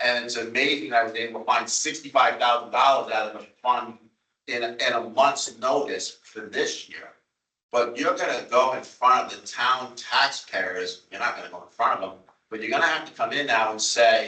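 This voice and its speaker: In an American accent, a man speaks at a moderate pace. His loudness swings widely. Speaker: town official at a transit board meeting. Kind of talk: public meeting debate. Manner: animated.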